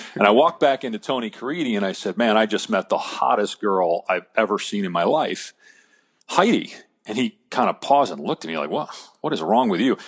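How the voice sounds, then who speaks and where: Here a man talks at a fairly quick pace with very wide pitch swings. The sound is dry and close, with no echo. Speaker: sports broadcaster and podcast guest. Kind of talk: interview answer, telling a personal story.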